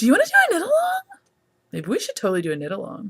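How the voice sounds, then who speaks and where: A woman speaks in an animated tone. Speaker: knitting podcast host. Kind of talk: casual chat.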